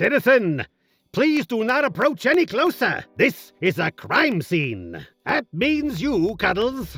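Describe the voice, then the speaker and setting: A cartoonish character voice talks at a fairly slow pace. Music plays in the background. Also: man, high pitch for a man. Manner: curt, officious.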